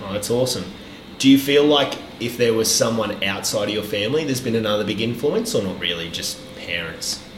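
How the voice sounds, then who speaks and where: In a room with audible echo and noticeable background noise, a man talks fairly quickly with an Australian accent. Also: medium pitch for a man, ordinary pitch variation. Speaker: podcast host. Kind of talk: casual interview chat; podcast intro monologue.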